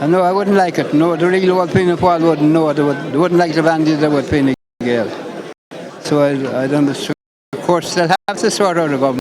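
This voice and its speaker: Over music in the background, a man with a northwest Irish accent talks at a fairly quick pace, his fairly high pitch showing ordinary variation. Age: 80s+. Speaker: local political enthusiast. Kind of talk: live interview.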